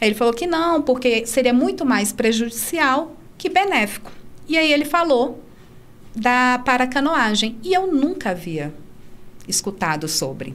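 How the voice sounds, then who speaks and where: At a fairly slow pace, a woman talks at a high pitch with very wide pitch swings. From Brazil, Brasília. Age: 30s. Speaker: para-canoe athlete and teacher. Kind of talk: casual interview.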